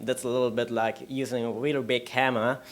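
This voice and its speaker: In a German accent, a man talks with monotone, flat intonation. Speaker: conference speaker. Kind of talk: lightning talk. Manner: halting.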